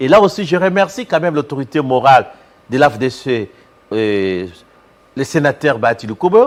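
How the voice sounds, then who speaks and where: A man with a fairly high voice, very wide pitch swings, and long, frequent pauses. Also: moderate pace. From DR Congo, Équateur province (Bassankusu). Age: 60s. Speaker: professor and politician. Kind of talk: TV interview.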